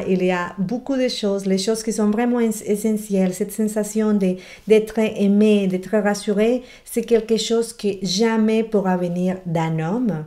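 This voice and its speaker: With a Spanish accent, a woman talks at a fairly slow pace in a dark, mellow tone, with a quiet background. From Colombian Amazon. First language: Spanish (speaking French). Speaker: relationship coach. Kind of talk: motivational video talk; casual advice talk to camera. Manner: animated. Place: home room. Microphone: webcam.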